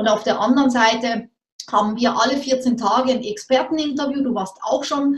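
A woman speaks. Her intonation stays fairly even. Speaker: entrepreneur, business coach. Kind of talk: casual interview. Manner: fast.

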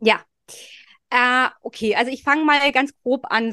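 Recorded dry and close with no echo against a quiet background, a woman speaks in a high pitch. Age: 30s. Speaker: fertility and cycle coach. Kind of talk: interview. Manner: hesitant, many fillers.

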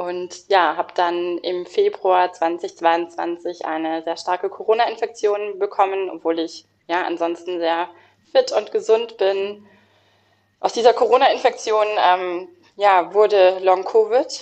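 Speaking very slowly, a woman uses a medium pitch. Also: ordinary pitch variation. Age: 30s. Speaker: lawyer sharing burnout experience. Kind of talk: interview testimony.

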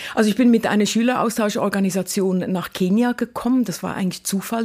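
A somewhat breathy voice with a dark, mellow tone and ordinary pitch variation speaks with a slight Swiss accent. The recording is very clean with a silent background. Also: woman. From Switzerland, Lucerne. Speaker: university rector. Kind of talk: casual interview. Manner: fast.

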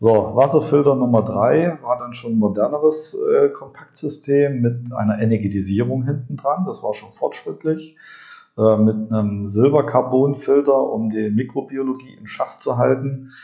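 The voice is somewhat breathy and the pace fairly slow. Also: man, medium pitch for a man, ordinary pitch variation. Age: 40s. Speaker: podcast host and drinking water consultant. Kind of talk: monologue podcast. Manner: animated; frequent filler sounds.

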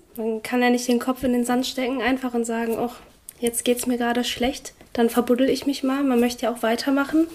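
Over noticeable background noise, a woman speaks at a fairly quick pace in a high voice with monotone, flat intonation. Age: 20s. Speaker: trainee in hospital administration with HAE. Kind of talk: interview testimony.

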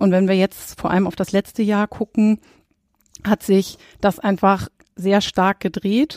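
In a very clean recording with a silent background and a dry, close sound with no echo, a woman talks at a fairly slow pace, at a medium pitch, with fairly even intonation. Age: 30s. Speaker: insurance risk expert. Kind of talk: expert interview. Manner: frequent filler hesitations.

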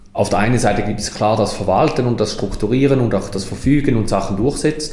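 Noticeable background noise and audible room echo surround a man talking at a medium pitch. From Switzerland, Toggenburg (St. Gallen). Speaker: mayor and politician. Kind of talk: interview conversation. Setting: town hall office.

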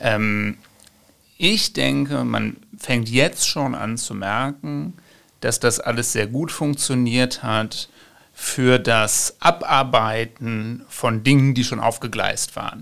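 On a very clean recording with a silent background, a man talks at a very slow pace in a medium pitch with a bright, sharp tone. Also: ordinary pitch variation. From western Germany (Ruhr area, Bochum). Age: 30s. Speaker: political scientist, author. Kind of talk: interview.

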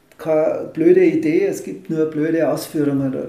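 Audible room echo surrounds the voice. A man is talking at a fairly slow pace. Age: 50s. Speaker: mayoral candidate, engineer. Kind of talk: interview.

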